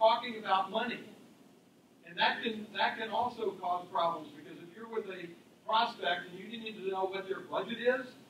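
A man with a high voice talks at a fairly quick pace with ordinary pitch variation, and there is light background noise and audible room echo. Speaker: panelist sales coach. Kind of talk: panel talk to audience. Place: meeting room.

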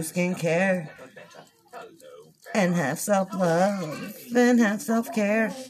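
Over light background noise, a woman with a medium pitch speaks at a very slow pace. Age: 30s. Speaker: beauty vlogger and makeup seller; beauty vlogger, makeup seller. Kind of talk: makeup tutorial livestream. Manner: casual chatty. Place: home room. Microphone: phone near.

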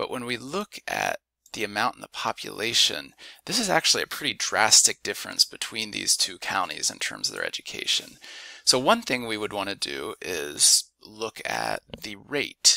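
With an American accent, a man talks at a moderate pace, his loudness swinging widely, in a dry, close sound with no echo. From US Midwest, Ohio. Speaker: instructor. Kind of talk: tutorial. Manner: halting, many fillers.

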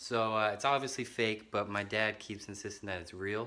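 The man has a bright, sharp tone. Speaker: amateur vlogger. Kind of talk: casual vlog chat. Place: home room. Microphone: phone near.

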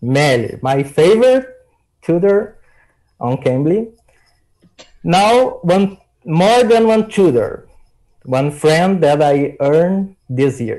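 Over a quiet background, a man with a Brazilian accent speaks very slowly, leaving long, frequent pauses. His high-pitched voice has a dark, mellow tone and very wide pitch swings. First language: Portuguese. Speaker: English learner and YouTuber. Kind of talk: casual chat. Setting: video call. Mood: warm, friendly. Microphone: video call.

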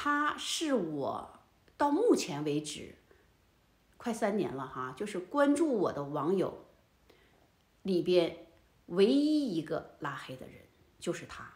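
A woman talks at a very slow pace, with long, frequent pauses. Her pitch swings very widely and her loudness varies in big swings. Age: 60s. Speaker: elderly lifestyle vlogger. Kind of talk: casual monologue to camera. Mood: indignant, storytelling. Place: home room.

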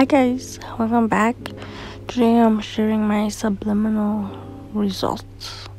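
Over music in the background, a woman talks at a very slow pace. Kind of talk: casual talk to camera. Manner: whispery, soft.

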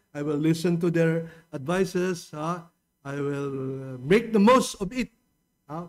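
The background is quiet while a man talks in a high pitch. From Philippines. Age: 70s. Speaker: pastor. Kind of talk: sermon. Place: church. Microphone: podium.

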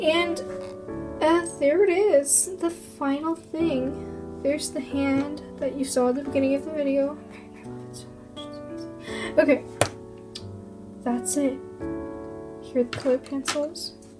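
Noticeable background noise runs under the recording. The speaker talks at a fairly slow pace with long, frequent pauses. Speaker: amateur artist vlogger. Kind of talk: casual talk to camera. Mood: playful, light. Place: home room. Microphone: phone near.

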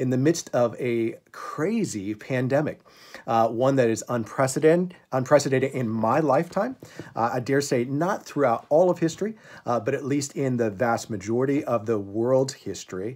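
The speaker goes at a moderate pace with ordinary pitch variation. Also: man. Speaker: pastor. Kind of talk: devotional talk to a congregation. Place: home room. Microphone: phone near.

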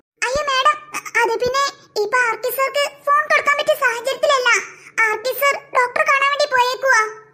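Putting on a cartoonish character voice, a woman talks at an extremely high pitch, keeping a moderate pace and fairly even intonation. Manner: hesitant, polite.

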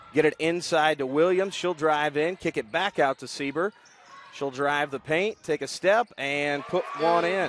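A man talks with ordinary pitch variation. The sound is dry with no echo, over light background noise. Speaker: play-by-play commentator. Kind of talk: commentary. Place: hall.

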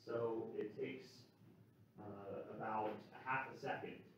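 The voice carries strong room echo over light background noise. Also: man. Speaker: university lecturer. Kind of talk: lecture. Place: classroom.

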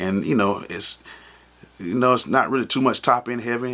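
At a moderate pace, a man talks. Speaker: music producer vlogger. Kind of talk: casual vlog chat. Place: studio.

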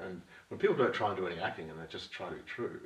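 A man talks, and audible room echo surrounds his voice. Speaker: interview guest, actor. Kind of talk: interview answer. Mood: reflective, thoughtful. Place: home room.

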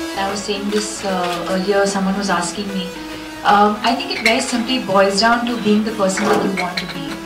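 A woman talks at a moderate pace while clear music sounds in the background. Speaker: film actress. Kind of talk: interview answer. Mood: calm, earnest. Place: hall.

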